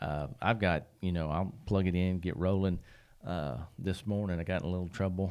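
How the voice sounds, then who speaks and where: Very deep and low, a man's voice moves at a moderate pace with fairly even intonation, captured on a very clean recording with a silent background. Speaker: podcast host. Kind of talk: casual chat. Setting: studio.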